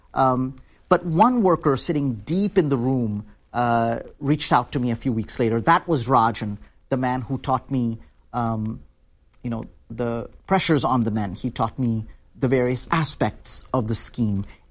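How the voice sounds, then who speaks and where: A man with an Indian accent, medium pitch and ordinary pitch variation, at a fairly slow pace in a very clean recording with a silent background. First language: Hindi. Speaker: author and labor organizer. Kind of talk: interview. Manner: hesitant, many fillers.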